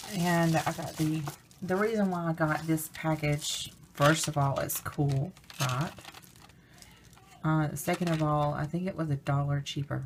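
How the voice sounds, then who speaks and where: A woman with a very deep, low pitch, fairly even intonation and long, frequent pauses, amid noticeable background noise. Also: fairly slow pace. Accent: American. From US South, Alabama. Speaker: crafts vlogger. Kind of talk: product haul review. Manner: casual, hesitant with fillers.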